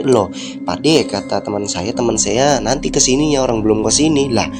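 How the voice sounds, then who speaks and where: Music plays behind a man talking at a very fast pace. His medium pitch carries lively intonation. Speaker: film recap narrator. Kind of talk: casual film plot recap to viewers. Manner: chatty, informal.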